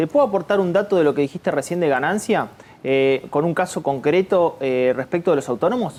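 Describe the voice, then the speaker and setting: A man speaks at a fairly quick pace in a high pitch, his loudness very even and his intonation lively. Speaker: economic analyst. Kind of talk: TV panel discussion.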